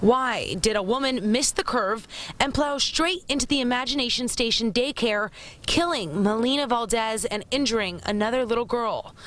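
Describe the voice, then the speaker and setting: A woman's high voice with lively intonation, a moderate pace and very even loudness, over noticeable background noise. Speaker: TV news reporter. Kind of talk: TV news report / live broadcast.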